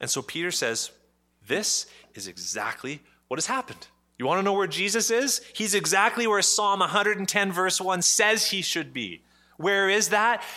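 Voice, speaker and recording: The voice is raised and projected, bright and sharp in tone, with a Canadian accent. It moves at a moderate pace with ordinary pitch variation on a very clean recording with a silent background. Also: man, high pitch for a man. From Canada, Ottawa. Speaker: pastor. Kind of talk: sermon.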